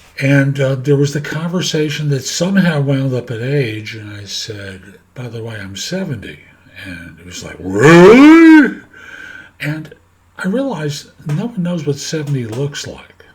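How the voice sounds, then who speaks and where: The man's voice is fairly high and somewhat breathy, moving at a fairly slow pace. Very wide pitch swings carry through audible room echo. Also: big swings in loudness. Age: 70s. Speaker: career coach and podcaster. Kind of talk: casual monologue to camera. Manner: halting, with fillers.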